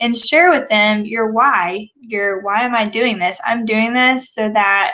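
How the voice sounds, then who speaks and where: Woman's fairly high voice at a very slow pace, with ordinary pitch variation and noticeable background noise. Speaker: wellness coach. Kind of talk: live webinar talk. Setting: live online video broadcast. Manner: casual, many fillers.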